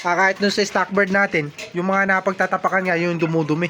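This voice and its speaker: Noticeable background noise surrounds a raised, projected voice. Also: man. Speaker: pigeon racing hobbyist vlogger. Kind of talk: casual vlog tutorial. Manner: casual, many hesitations.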